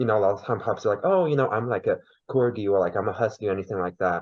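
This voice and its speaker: With a Chinese accent, a man speaks at a medium pitch. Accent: Mandarin Chinese accent in English. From China. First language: Mandarin. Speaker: podcast guest. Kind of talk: interview.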